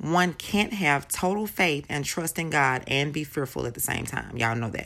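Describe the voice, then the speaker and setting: A woman's very deep, low voice, bright and sharp in tone, with lively intonation and vocal fry. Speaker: faith podcaster. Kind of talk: devotional talk. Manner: warm, enthusiastic.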